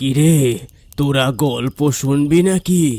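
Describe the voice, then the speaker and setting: A man's cartoonish character voice, fairly high in pitch, with ordinary pitch variation. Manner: slow, cryptic, calm.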